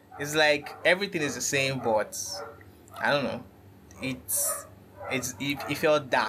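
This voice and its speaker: Noticeable background noise sits under speech that goes fairly slowly, broken by long, frequent pauses. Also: man, fairly high pitch for a man, ordinary pitch variation. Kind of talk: casual chat. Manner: dim, subdued tone; halting, repeats words.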